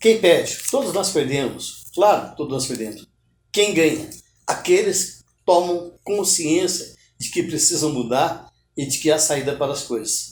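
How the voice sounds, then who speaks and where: In a room with audible echo, a man with a high voice speaks at a fairly slow pace with ordinary pitch variation. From Brazil, Minas Gerais. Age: 70s. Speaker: writer. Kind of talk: interview.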